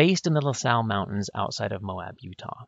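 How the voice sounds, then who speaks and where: This is an ordinary speaking voice, a man with an American accent. He talks at a fairly quick pace with lively intonation. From US Pacific Northwest (northwest Washington). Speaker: podcast host, history professor. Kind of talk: scripted introduction; interview.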